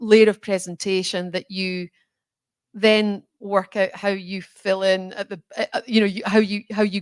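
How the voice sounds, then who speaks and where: A woman's medium-pitched voice, monotone and flat in intonation, at a moderate pace, with a dry, close sound with no echo and a very clean recording over a silent background. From Scotland. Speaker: chief executive. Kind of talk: fireside chat interview.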